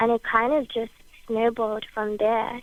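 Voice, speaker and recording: A woman talks with a Bermudian accent at a moderate pace. Her pitch is fairly high and her intonation monotone and flat. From Bermuda. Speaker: singer-songwriter. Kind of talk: interview.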